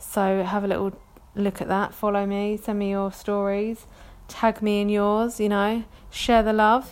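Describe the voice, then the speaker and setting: A woman with a London accent talks in a flat monotone. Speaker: podcast host. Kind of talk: casual chat, solo podcast monologue. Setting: home recording with baby nearby. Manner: casual, chatty, hesitant with fillers.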